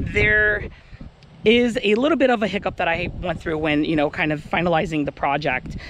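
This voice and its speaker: A man talks at a moderate pace with a high pitch. Noticeable background noise can be heard. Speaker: RC plane hobbyist vlogger. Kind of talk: casual vlog talk to camera. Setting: outdoors at flying field.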